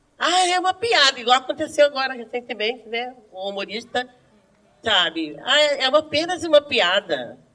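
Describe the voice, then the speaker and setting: A woman's animated, raised and projected voice, high-pitched, with very wide pitch swings. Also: moderate pace. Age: 60s. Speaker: schoolteacher. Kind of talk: group discussion.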